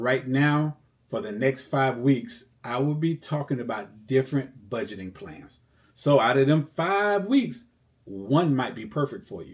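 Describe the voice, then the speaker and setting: At a fairly slow pace, a plain, everyday voice carries lively intonation and big swings in loudness. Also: man. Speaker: financial coach. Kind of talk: tutorial. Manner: casual.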